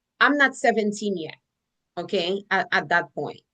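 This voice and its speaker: Against a quiet background, a woman speaks at a medium pitch with a bright, sharp, animated tone and ordinary pitch variation. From Haiti. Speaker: life coach and speaker. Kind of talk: interview testimony.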